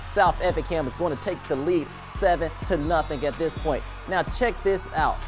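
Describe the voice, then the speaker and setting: Music in the background under a man's very fast delivery. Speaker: sports anchor. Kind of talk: sports highlights commentary.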